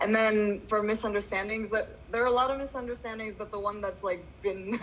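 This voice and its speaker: A woman with an American accent talks at a fairly quick pace in a fairly high pitch. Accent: American-sounding. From Indonesia. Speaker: intern. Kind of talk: team meeting update.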